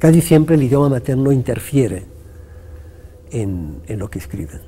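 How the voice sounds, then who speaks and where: A man with an Italian accent, fairly slow and full of very wide pitch swings, against noticeable background noise. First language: Italian (speaking Spanish). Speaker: poet and writer. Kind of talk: interview.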